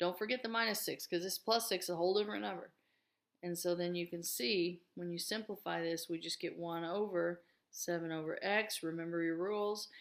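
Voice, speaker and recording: A woman talks at a fairly quick pace in a fairly low voice with ordinary pitch variation. The recording is very clean, with a silent background. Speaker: math teacher. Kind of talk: tutorial.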